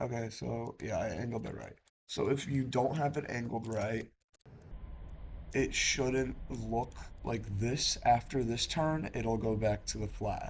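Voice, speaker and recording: This man has vocal fry and a medium pitch. His pitch varies in an ordinary way. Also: fairly slow pace. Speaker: gaming video creator. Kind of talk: tutorial. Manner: casual, hesitant with fillers.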